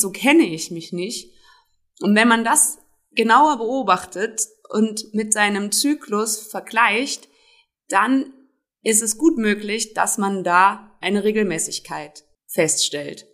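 Very slowly, a woman talks with lively intonation in a fairly high pitch. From Germany, Trier (Rhineland-Palatinate). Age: 30s. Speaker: self-help group founder. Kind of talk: interview.

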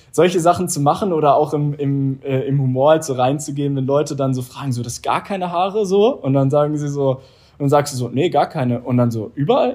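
At a fairly quick pace, a man speaks with a dark, mellow tone, fairly high pitch and ordinary pitch variation. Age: 20s. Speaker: entrepreneur and former handball player. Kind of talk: interview.

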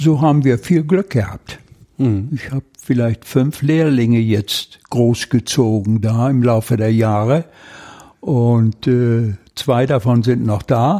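Speaking at a very slow pace, a man at medium pitch has a dark, mellow tone and ordinary pitch variation, in a dry, close sound with no echo. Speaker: retired mechanical engineer working in a carpentry workshop. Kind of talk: interview. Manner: halting.

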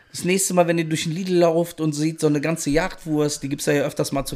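The man speaks at a fairly quick pace. His fairly high voice stays flat and monotone. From northern Germany (Rostock), moved west as a child. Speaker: food podcast guest. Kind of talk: casual chat. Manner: loud.

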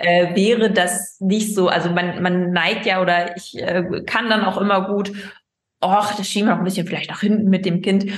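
In a room with audible echo, a woman speaks at medium pitch in a flat, monotone way. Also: moderate pace. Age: 30s. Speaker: gynecologist, fertility doctor. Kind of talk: casual interview.

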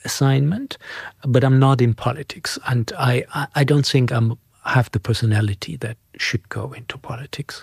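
A somewhat breathy man speaks at a moderate pace with ordinary pitch variation. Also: medium pitch for a man. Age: 60s. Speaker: financial centre executive and award jury member. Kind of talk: interview. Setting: office. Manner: halting, many fillers and repeats.

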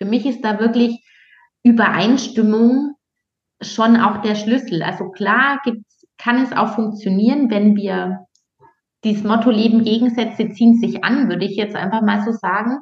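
A woman speaks at a fairly high pitch with a somewhat breathy voice. Her pace is fairly slow and her intonation fairly even. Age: 30s. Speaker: dating and relationship coach. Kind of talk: casual interview.

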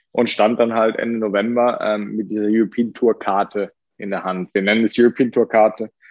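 Male voice at medium pitch. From Germany. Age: 20s. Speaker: professional golfer. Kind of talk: interview. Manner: hesitant with many fillers.

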